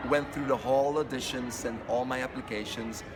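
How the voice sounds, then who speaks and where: With a non-native accent, a man talks at a moderate pace and fairly even intonation, with music in the background and audible room echo. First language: not English. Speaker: fitness instructor trainer. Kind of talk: interview. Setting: fitness convention.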